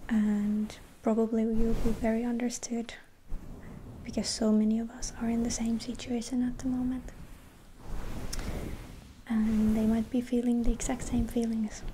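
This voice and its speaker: A soft-spoken woman with a gentle tone and a fairly high pitch talks at a moderate pace in a flat monotone, pausing long and often over noticeable background noise. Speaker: ASMR creator. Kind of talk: ASMR positive affirmation pep talk. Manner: soft-spoken, gentle, reassuring.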